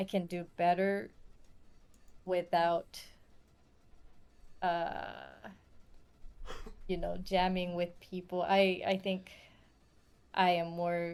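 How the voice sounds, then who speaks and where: At a fairly low pitch, a woman speaks at a very slow pace. She leaves long, frequent pauses. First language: not English. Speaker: music artist. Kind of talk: interview. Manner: halting.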